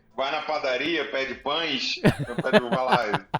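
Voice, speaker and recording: A man speaks in an animated tone with a fairly high pitch and ordinary pitch variation. Noticeable background noise runs behind him. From Rio de Janeiro, Brazil. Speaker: TV show presenter and church counselor. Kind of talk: interview.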